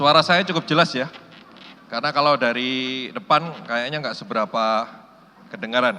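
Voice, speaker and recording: Against noticeable background noise, a man speaks at a medium pitch and moderate pace with ordinary pitch variation. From Indonesia, Surabaya (East Java). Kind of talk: sermon. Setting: church hall with audience. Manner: animated.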